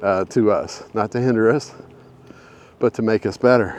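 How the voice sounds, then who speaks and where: Medium pitch from a man, over noticeable background noise. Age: 60s. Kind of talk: casual talk to camera while walking. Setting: outdoors.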